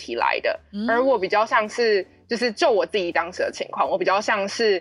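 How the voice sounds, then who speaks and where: With a normal speaking voice, a woman talks at a fairly quick pace and fairly high pitch with lively intonation, in a dry, close sound with no echo. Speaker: German teacher. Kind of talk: casual chat; scripted dialogue reading.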